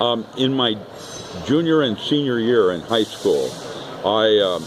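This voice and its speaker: Over noticeable background noise and audible room echo, a man talks at a fairly slow pace in a medium pitch. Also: ordinary pitch variation. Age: 70s. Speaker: author and speaker. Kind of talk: casual interview. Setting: expo hall. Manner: hesitant, many ums.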